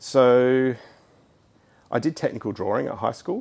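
Medium in pitch, a man speaks with an Australian accent. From Sydney, Australia (Hunters Hill). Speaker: architect. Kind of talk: casual interview. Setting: in a shed he designed.

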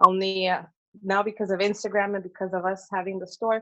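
A woman with an American accent, monotone and flat, at a fairly quick pace over a quiet background. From Northern California. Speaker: small business owner. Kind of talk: casual interview. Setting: remote call from Mexico.

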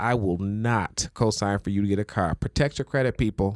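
A man with fairly low pitch and ordinary pitch variation has a normal speaking voice, heard dry and close with no echo on a very clean recording over a silent background. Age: 20s. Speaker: podcast host. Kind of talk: casual chat.

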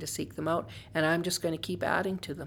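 A woman with a western Canadian accent, very deep and low-pitched, at a fairly quick pace. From western Canada, Calgary. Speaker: writer and filmmaker. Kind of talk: interview.

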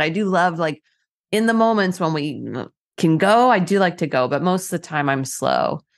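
A woman with an ordinary speaking voice talks at a fairly low pitch against a quiet background. Her pace is moderate, with ordinary pitch variation. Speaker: yoga and mindfulness coach. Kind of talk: casual interview.

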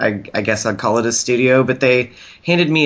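A man with an ordinary speaking voice, medium in pitch, at a fairly quick pace. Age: 30s. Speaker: body piercer. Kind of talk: casual chat.

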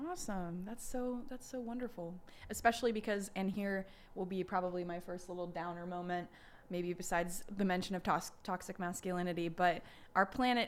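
In a normal speaking voice with lively intonation, the speaker keeps a moderate pace on a very clean recording with a silent background. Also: woman. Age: 20s. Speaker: podcast host. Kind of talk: casual chat.

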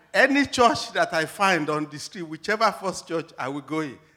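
With a bright, sharp tone and lively intonation, a man talks at a moderate pace in a high pitch. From Nigeria. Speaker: academic researcher. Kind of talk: testimony interview. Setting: church stage.

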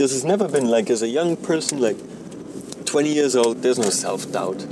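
A man with a German accent, amid noticeable background noise. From Germany. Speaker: podcaster. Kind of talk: casual monologue. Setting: in a car while driving. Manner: rambling, halting with fillers.

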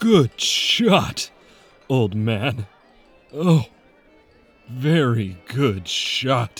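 Putting on a character voice, a man speaks very slowly with lively intonation and long, frequent pauses while faint music plays in the background. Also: medium pitch for a man. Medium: audio drama.

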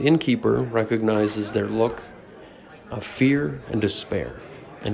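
A man talks at a fairly slow pace in a fairly low pitch. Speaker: storyteller and game master. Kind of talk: dramatic narration of a fantasy role-playing story, with character voices. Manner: sinister voices for villains.

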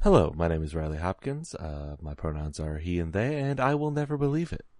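Putting on a strained character voice, a man speaks fairly quickly at a very deep, low pitch with very wide pitch swings. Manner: restrained, deadpan.

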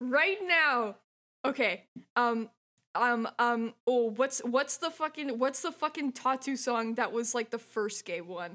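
A woman projects a raised voice at a high pitch, her tone bright and sharp. She goes at a fairly slow pace with very wide pitch swings. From France. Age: 20s. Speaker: podcast guest. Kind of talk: casual chat.

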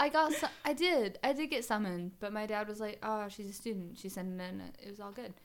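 A woman's plain, everyday voice, fairly high and fairly quick, with lively intonation, hardly any pauses and big swings in loudness. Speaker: podcast host. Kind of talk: casual comedic chat over wine.

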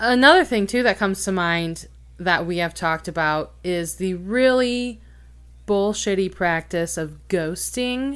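A woman's unremarkable speaking voice at a medium pitch, fairly slow, with lively intonation, in a very clean recording with a silent background. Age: 30s. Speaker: podcast guest discussing her dating life. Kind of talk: casual chat.

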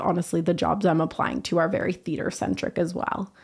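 With a western Canadian accent and vocal fry, a woman speaks at a fairly low pitch and a moderate pace on a very clean recording with a silent background. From Vancouver, British Columbia, Canada. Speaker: university student. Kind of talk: interview. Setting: studio.

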